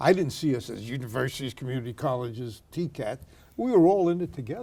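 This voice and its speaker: On a very clean recording with a silent background, a man with a Brooklyn accent talks at a very fast pace in a dark, mellow, somewhat breathy tone, his medium pitch carried by lively intonation. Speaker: retired university president. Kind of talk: oral history interview.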